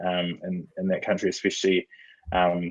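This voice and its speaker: Someone speaks with a New Zealand accent at a moderate pace. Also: man. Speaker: sports podcaster. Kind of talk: casual chat.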